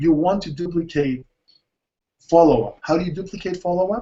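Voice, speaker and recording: This man's voice is pitched high. Its rise and fall is typical. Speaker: network marketing trainer. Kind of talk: webinar training talk. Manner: fast.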